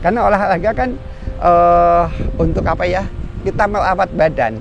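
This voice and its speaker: Male speech at a moderate pace amid noticeable background noise. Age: 60s. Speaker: retired regional head. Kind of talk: casual interview. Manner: measured, didactic.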